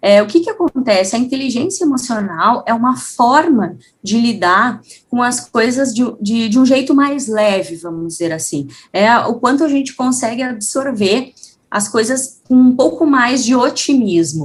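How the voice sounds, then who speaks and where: With a southern Brazilian accent, a woman speaks at a fairly slow pace in a high pitch, her intonation lively. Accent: gaúcho Brazilian Portuguese. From Rio Grande do Sul, Brazil. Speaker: psychologist and HR manager. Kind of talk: interview.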